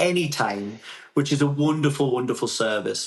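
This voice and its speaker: With a Geordie accent, a man speaks at medium pitch and a moderate pace. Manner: conversational, frequent fillers.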